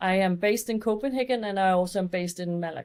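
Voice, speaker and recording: On a very clean recording with a silent background, a woman speaks with a Danish accent. Her pitch is medium, with ordinary variation. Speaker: fashion and beauty photographer. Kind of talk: podcast interview.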